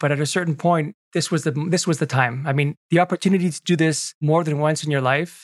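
In a dry, close sound with no echo and a quiet background, a man with an unremarkable speaking voice and a fairly high pitch talks at a fairly quick pace with fairly even intonation and hardly any pauses. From Quebec, Canada (Montreal). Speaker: Salesforce consultant. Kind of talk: interview. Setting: video call.

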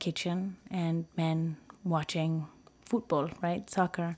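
A woman with an American accent speaks at a very slow pace. The recording is very clean, with a silent background. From United States, Peruvian family. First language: Spanish. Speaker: gender issues professional. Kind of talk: interview conversation. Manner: halting with many fillers.

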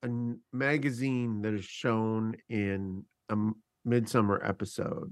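A man with an unremarkable speaking voice talks at a fairly slow pace. His pitch sits in the medium range. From Canada. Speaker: podcast co-host. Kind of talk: casual chat.

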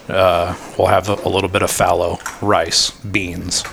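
Through noticeable background noise, a man with an American accent speaks slowly-ish at a fairly slow pace, his very deep, low voice monotone and flat. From Yuba City, Northern California. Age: 30s. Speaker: hunting guide. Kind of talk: casual chat.

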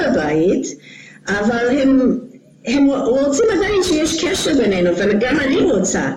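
With audible room echo and noticeable background noise, a woman speaks at a high pitch with very wide pitch swings. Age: 60s. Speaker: karate instructor. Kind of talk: interview.

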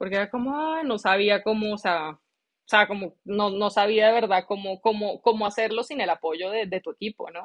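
An unremarkable speaking voice from a woman, medium in pitch with ordinary pitch variation, at a fairly slow pace. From Colombia, Bogotá. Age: 30s. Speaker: chef. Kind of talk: interview.

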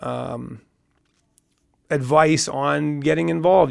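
A man with a Canadian Prairie accent. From Saskatchewan, Canada. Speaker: mayoral candidate and business owner. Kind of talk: radio interview. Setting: radio studio.

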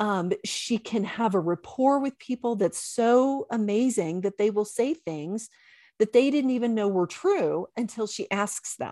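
In an American accent, a woman uses a normal speaking voice, fairly high pitched, with ordinary pitch variation at a fairly slow pace. The recording is very clean, with a silent background and a dry, close sound with no echo. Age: 50s. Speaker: chiropractor and intuitive coach. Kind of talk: casual interview chat.

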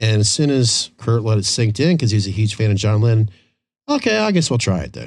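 The voice is somewhat breathy, with an American accent and ordinary pitch variation. It moves at a fairly quick pace over a quiet background. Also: man, fairly low pitch for a man. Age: 50s. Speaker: podcast host. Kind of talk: casual chat. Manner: animated.

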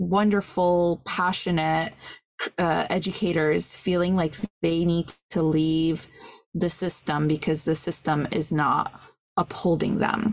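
A woman speaks at a very slow pace with a fairly low pitch. Her loudness stays very even and her intonation fairly even. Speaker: podcast co-host. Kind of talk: casual film discussion. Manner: passionate.

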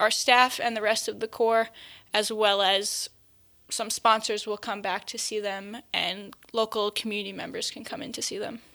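Bright, sharp tone in an American accent, flat and monotone in intonation, on a very clean recording with a silent background. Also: woman. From Long Island, New York. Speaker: AmeriCorps team leader. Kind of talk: interview.

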